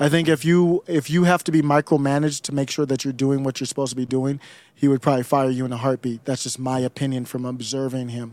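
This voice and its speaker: A man with an American accent at a very fast pace, hardly any pauses, fairly even intonation, and a dry, close sound with no echo. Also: medium pitch for a man. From Ohio, Cleveland. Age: 40s. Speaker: political commentator podcaster. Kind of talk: casual chat.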